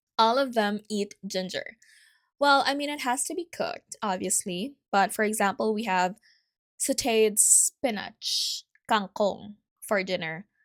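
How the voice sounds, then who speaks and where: A woman's fairly high, lively voice at a fairly slow pace, dry and close with no echo, on a very clean recording over a silent background. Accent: Filipino. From Philippines. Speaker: podcast host. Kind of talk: casual solo podcast talk. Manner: chatty, conversational.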